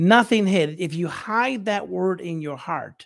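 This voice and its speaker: Against a quiet background, a man with an American accent talks at a very slow pace using lively intonation. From United States. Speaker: bishop and missionary, livestream show host. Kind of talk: casual livestream talk with Bible teaching. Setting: live stream. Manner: rambling, frequent fillers and repetitions. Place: home room. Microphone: studio mic.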